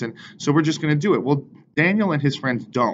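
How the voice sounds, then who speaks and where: A man talks while noticeable background noise carries on behind him. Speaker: bible study teacher. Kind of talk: casual bible lesson talk. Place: office.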